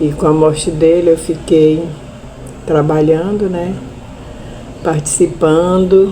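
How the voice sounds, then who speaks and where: A woman speaks at a very slow pace in a fairly low, monotone voice with flat intonation, leaving long, frequent pauses, with audible room echo and noticeable background noise. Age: 70s. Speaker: widow of a murdered union leader, land-conflict witness. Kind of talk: testimony.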